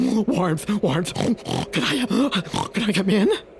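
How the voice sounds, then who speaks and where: Over clear background noise, a put-on character voice with a fairly high pitch speaks at a fairly slow pace. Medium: read story. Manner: pleading, repetitive.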